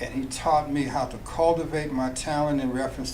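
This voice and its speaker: With an American accent and medium pitch, the man speaks at a moderate pace in fairly even intonation, amid audible room echo and noticeable background noise. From Nebraska, US Midwest. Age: 70s. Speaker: jazz musician turned finance professional. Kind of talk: radio interview.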